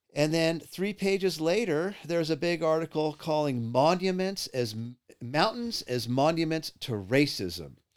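At a fairly slow pace, a man with an American accent speaks in a fairly high voice with lively intonation. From California. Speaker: podcast host. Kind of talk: casual chat.

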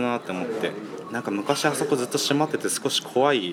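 A medium-pitched man at a very fast pace, with ordinary pitch variation and music in the background. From Kawagoe, Saitama, Japan. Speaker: spatial designer. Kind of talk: interview.

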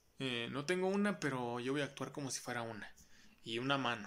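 A man talks in a plain, everyday voice, and his pitch varies in an ordinary way. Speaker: podcast co-host. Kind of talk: casual chat. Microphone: new mic, louder than before.

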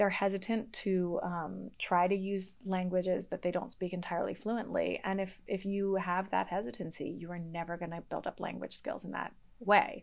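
A woman's normal speaking voice at a medium pitch, with fairly even intonation, a moderate pace and hardly any pauses, over a quiet background. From US Northeast, Boston area. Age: 30s. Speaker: history professor. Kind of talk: podcast interview.

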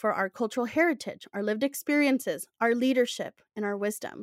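A plain, everyday voice from a woman at fairly high pitch with ordinary pitch variation, on a very clean recording with a silent background and a dry, close sound with no echo. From Latin America, outside the US. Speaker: podcast host. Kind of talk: scripted narration; casual chat.

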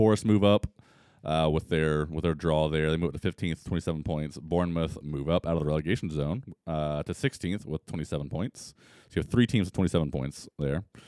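A man with a very deep, low pitch and a dark, mellow tone speaks fairly quickly with ordinary pitch variation. The sound is dry and close with no echo, in a very clean recording over a silent background. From US South, Tennessee (Johnson City). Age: 30s. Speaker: soccer podcast co-host. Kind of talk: casual chat.

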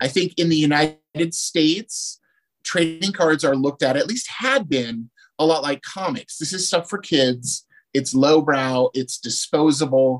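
A normal speaking voice moves at a fairly slow pace with ordinary pitch variation, in a dry, close sound with no echo and a quiet background. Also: man, fairly high pitch for a man. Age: 40s. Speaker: trading card producer and former retoucher. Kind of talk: casual interview chat.

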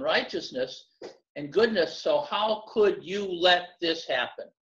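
A man's high-pitched voice with lively intonation, at a very slow pace. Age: 70s. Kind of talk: casual conversation about faith.

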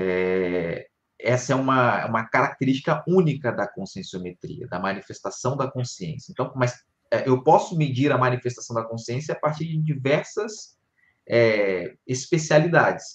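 Somewhat breathy, a man speaks slowly-ish, at a fairly slow pace, his medium pitch rising and falling with lively intonation. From Rio de Janeiro, Brazil. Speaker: conscienciology teacher. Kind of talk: live-streamed panel discussion. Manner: hesitant, many fillers.

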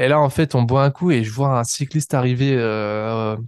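Recorded dry and close with no echo, a man of medium pitch speaks at a fairly slow pace with ordinary pitch variation. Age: 20s. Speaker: podcast host and ultra-distance cyclist. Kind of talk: casual monologue. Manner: hesitant, with many fillers.

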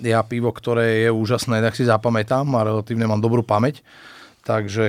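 At a fairly quick pace, a man talks in a monotone, flat way at a medium pitch. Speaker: podcast host. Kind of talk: casual chat.

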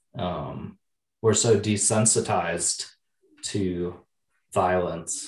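Speaking very slowly with long, frequent pauses, a man with an American accent sounds somewhat breathy and keeps his intonation fairly even. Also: fairly low pitch for a man. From Wisconsin (Oshkosh). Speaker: podcast host. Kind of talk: casual interview chat.

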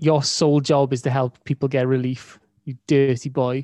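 A man with a Welsh accent and a fairly high pitch, dry and close with no echo, over a quiet background. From Wales. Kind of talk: casual banter.

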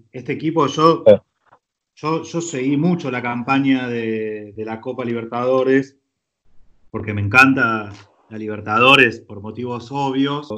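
A man speaks in a Rioplatense accent with ordinary pitch variation. His speech has long, frequent pauses. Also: medium pitch for a man, fairly slow pace. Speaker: film director. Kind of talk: casual chat.

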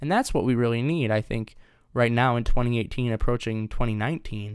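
On a very clean recording with a silent background, a man with an American accent talks at a fairly quick pace and medium pitch. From US Midwest, Detroit area, Michigan. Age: 20s. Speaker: podcast host. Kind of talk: solo monologue podcast intro.

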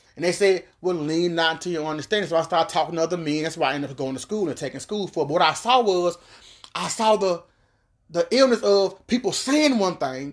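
Talking at a very fast pace, a man with a high pitch uses ordinary pitch variation. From Miami, Florida. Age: 40s. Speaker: former rapper. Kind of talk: interview.

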